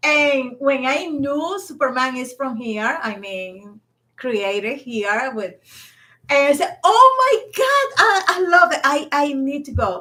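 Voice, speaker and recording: Very slowly, a woman with a Spanish accent speaks in a raised, projected voice with high pitch. Her tone is bright and sharp, and her pitch swings very widely. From Dominican Republic. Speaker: podcast co-host. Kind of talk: casual chat.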